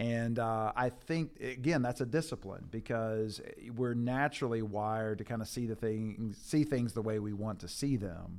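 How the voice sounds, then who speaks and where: A man at a medium pitch, moderate pace and ordinary pitch variation, with hardly any pauses, in a very clean recording with a silent background. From Kentucky, near Louisville. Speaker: church planting strategist. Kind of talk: casual interview.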